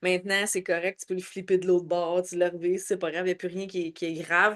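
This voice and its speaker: A woman's medium-pitched, monotone voice in a Quebec accent, with flat intonation at a very fast pace. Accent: Québécois French. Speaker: network marketing team leader. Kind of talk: online training session. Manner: loud.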